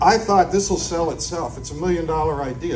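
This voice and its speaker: Over music in the background and with audible room echo, a man with an American accent speaks at a fairly high pitch. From northeastern Pennsylvania. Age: 60s. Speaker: comedian. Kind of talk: stand-up. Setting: stage with audience.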